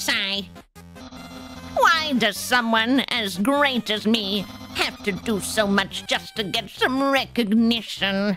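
A woman uses a put-on character voice at a very slow pace with clear music in the background. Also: fairly high pitch for a woman. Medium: role play. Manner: loud, exasperated.

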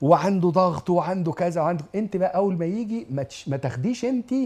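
A man with an Egyptian accent speaks at a moderate pace in a high voice with lively intonation. His tone is dark and mellow, over a quiet background. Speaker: lecturer on family and marriage; TV lecturer on family life. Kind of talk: religious lecture to an audience. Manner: animated. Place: studio. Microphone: lapel.

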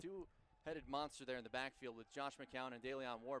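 An animated tone from a man. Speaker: football play-by-play announcer. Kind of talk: live sports commentary. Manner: animated, rising excitement on big plays.

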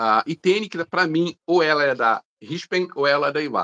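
Over a quiet background, a man speaks in a fairly high pitch. His tone is bright and sharp, his pace fairly slow. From Belo Horizonte, Brazil. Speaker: airbrush artist; guest. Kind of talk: casual chat. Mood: relaxed, friendly. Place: home room. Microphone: video call.

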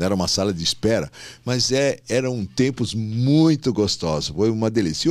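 Against a quiet background, a man talks at a fairly slow pace and fairly low pitch with lively intonation. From São Paulo city, Brazil; Brazil. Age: 60s. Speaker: gynecologist and obstetrician; guest. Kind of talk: casual interview. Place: studio. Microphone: studio mic.

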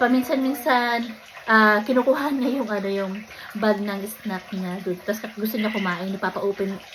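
A woman speaks with fairly even intonation. Her pitch is fairly high, and there is noticeable background noise. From Philippines. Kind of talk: casual vlog talk. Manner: halting, many fillers.

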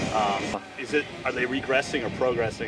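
Clear music plays in the background as a man talks, his voice dry with no echo. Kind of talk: interview answer. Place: street. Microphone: old recording.

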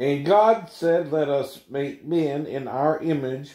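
Audible room echo surrounds a man whose dark, mellow tone and fairly even intonation move at a very slow pace. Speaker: bible teacher. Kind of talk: scripture reading with commentary. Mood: relaxed, laughs at times. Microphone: phone near.

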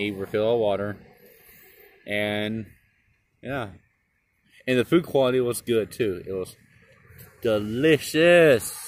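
This man's voice has ordinary pitch variation and a dry sound with no echo. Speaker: restaurant reviewer. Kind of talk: casual vlog chat. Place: street. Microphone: phone near.

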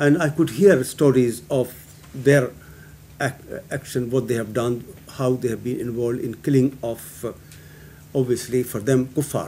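A man with a dark, mellow tone talks at a fairly slow pace and with fairly even intonation, with light background noise behind him. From Pakistan. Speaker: guest. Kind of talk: panel discussion. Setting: public meeting with audience. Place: meeting room. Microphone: podium.

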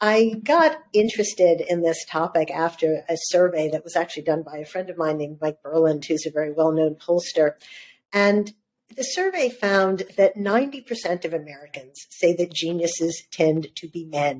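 A woman speaks at a moderate pace in a fairly low pitch, with ordinary pitch variation. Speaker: journalist and author. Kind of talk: interview conversation. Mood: warm, smiling. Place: home room.

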